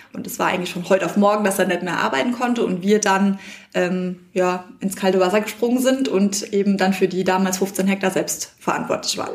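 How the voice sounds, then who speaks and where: A woman's medium-pitched voice at a fairly quick pace, fairly even intonation, noticeable background noise. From Palatinate, Germany. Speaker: winemaker. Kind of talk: interview. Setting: winery.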